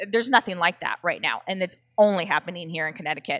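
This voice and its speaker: A woman with an American accent, a bright, sharp tone and ordinary pitch variation, in a dry, close, echo-free sound on a very clean recording with a silent background. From Southern California. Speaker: chef and food delivery entrepreneur. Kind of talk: casual interview chat. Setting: in-person at a brewery.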